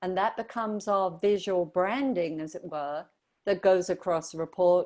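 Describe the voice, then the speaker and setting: A woman of medium pitch with an English accent, a dark, mellow tone, ordinary pitch variation and a fairly slow pace. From southern England. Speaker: brand strategist. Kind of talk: radio interview.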